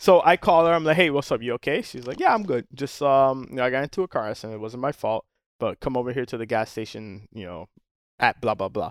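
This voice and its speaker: On a very clean recording with a silent background and a dry, close sound with no echo, a man talks at a very fast pace with lively intonation and big swings in loudness. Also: medium pitch for a man. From Miami, Florida. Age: 40s. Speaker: charter boat captain. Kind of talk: casual chat.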